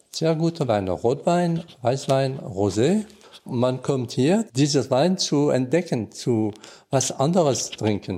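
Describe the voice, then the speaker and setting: In a very clean recording with a silent background, a man with a fairly high pitch and a dark, mellow tone speaks at a very slow pace, his pitch swinging very widely while his loudness stays very even. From Alsace, France. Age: 60s. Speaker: guesthouse owner. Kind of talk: interview. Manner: halting.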